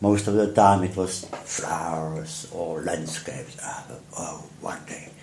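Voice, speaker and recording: Over noticeable background noise, a man with a strong Czech accent and a very deep, low pitch speaks at a very slow pace with hardly any pauses, fairly even intonation, and big swings in loudness. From Czech Republic, Prague. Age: 70s. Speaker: artist. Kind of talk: interview storytelling.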